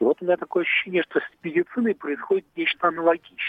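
The speaker is a man. His intonation is lively. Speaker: caller. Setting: phone call. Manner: halting.

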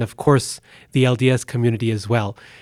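A man with an American accent and an ordinary speaking voice talks fairly quickly at a medium pitch. His intonation is fairly even, and the recording is very clean with a silent background. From Boise, Idaho, US. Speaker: professor of religious studies. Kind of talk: interview conversation. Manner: formal.

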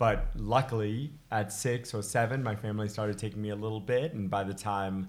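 A man talks at a moderate pace with a slight British accent. His pitch variation is ordinary. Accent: slight British trace in American speech. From England, then Massachusetts from age six. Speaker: high altitude climber and skier. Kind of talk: casual interview chat.

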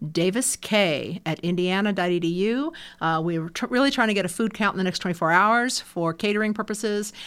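A plain, everyday voice moves at a fairly quick pace with ordinary pitch variation and hardly any pauses. The recording is very clean, with a silent background. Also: woman, medium pitch for a woman. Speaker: university lecturer. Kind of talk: casual interview.

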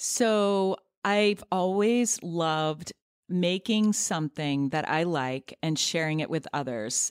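This is a woman with a normal speaking voice and a fairly low pitch. Her lively intonation comes through on a very clean recording, silent in the background, with a dry, close sound and no echo. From US Midwest (near Cleveland, Ohio) and North Carolina. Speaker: fashion designer and business founder. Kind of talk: interview conversation. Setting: studio.

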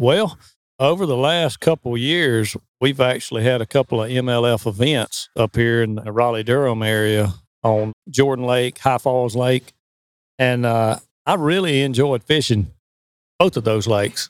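A man's normal speaking voice at medium pitch, with ordinary pitch variation and a moderate pace, in a dry, close sound with no echo and a very clean recording against a silent background. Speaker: professional bass angler. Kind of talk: casual interview.

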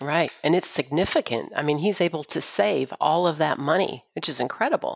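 A woman's very deep, low voice with vocal fry and an American accent, lively in intonation and fairly quick. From Austin, Texas. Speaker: financial advice line team member. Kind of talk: casual chat.

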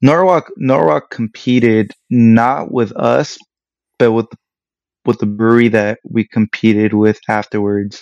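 A man speaks at a fairly slow pace in a medium pitch, with ordinary pitch variation and an unremarkable speaking voice. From Los Angeles area, Mexican American. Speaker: craft brewer. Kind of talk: casual interview.

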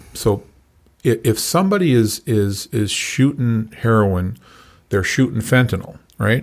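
In a very clean recording with a silent background, a man with an ordinary speaking voice talks at a fairly slow pace and medium pitch, his intonation lively and his loudness very even. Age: 60s. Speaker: recovery coach. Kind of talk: interview. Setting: studio.

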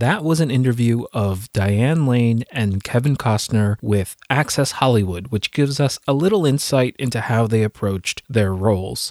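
A man with a plain, everyday voice speaks at a moderate pace and medium pitch with ordinary pitch variation, very even loudness and hardly any pauses, the sound dry and close with no echo. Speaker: podcast host and film commentator. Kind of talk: scripted-style analysis commentary.

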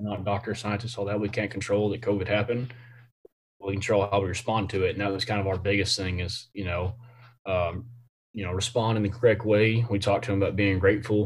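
Somewhat breathy and fairly low in pitch, a man with a Texan accent talks at a very fast pace in a monotone, flat delivery. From Central Texas, Temple area. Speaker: high school football coach. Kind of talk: interview. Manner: many filler words.

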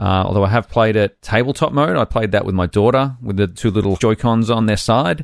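A man with an Australian accent and a fairly low voice, at a fairly quick pace with hardly any pauses and ordinary pitch variation, in a dry, close sound with no echo and a quiet background. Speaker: podcast host. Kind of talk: casual chat.

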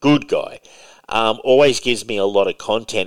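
Vocal fry at a fairly quick pace, on a very clean recording with a silent background. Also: man. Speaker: podcast host. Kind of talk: casual chat. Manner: talkative, rambling, grumpy.

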